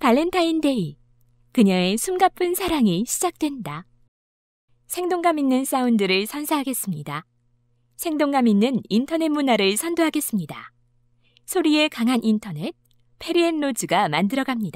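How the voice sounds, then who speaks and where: A woman with high pitch speaks at a moderate pace, making very wide pitch swings at very even loudness and leaving long, frequent pauses. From South Korea. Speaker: voice actor. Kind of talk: radio commercial read.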